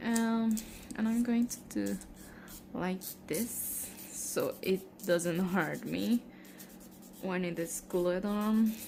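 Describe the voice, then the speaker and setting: A woman with a non-native accent and medium pitch speaks at a very slow pace with long, frequent pauses. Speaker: nail care vlogger. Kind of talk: tutorial. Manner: halting, with fillers.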